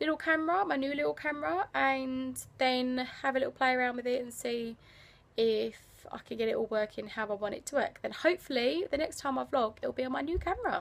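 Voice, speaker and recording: A high-pitched woman with an English accent at a fairly quick pace. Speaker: travel vlogger. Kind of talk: casual vlog. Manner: quiet.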